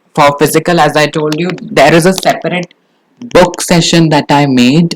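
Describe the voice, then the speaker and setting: Heard dry and close with no echo, a man with an Indian accent speaks at a moderate pace and a fairly high pitch. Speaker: exam prep teacher. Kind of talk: tutorial. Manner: animated.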